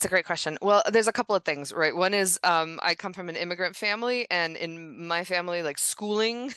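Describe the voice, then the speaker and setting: With hardly any pauses, a woman of medium pitch speaks at a fairly quick pace in a bright, sharp tone with ordinary pitch variation, the sound dry and close with no echo against a quiet background. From former Yugoslavia, then Egypt. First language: Serbo-Croatian. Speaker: novelist. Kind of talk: interview. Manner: frequent fillers and repetitions.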